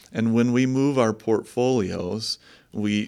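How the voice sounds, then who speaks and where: A man with an American accent talks at a fairly slow pace in a fairly low voice, an unremarkable speaking voice. The recording is very clean, with a silent background. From Michigan, US Midwest. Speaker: investment manager. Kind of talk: interview.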